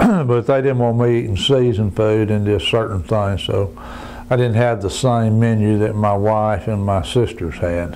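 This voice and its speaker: There is noticeable background noise and audible room echo as a man with a Southern US accent speaks at a fairly low pitch with ordinary pitch variation. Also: moderate pace. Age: 70s. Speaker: cancer patient. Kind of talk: testimony. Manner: halting.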